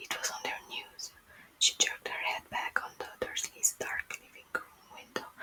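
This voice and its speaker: A woman is whispering at a moderate pace. Noticeable background noise is present. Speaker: ASMR creator. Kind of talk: bedtime book reading. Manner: whispered, soft-spoken.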